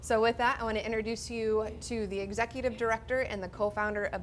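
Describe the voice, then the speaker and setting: In a Midwestern US accent, a woman speaks at a very fast pace. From Iowa. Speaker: zookeeper. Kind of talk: introduction speech.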